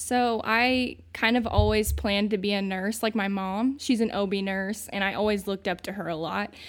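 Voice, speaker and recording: A woman with an American accent uses a normal speaking voice at a medium pitch and a moderate pace, with hardly any pauses. Her intonation is fairly even, and the recording is very clean with a silent background. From US Midwest, southern Indiana small town. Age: 20s. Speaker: recent Bible college graduate, young ministry worker. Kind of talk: casual interview chat.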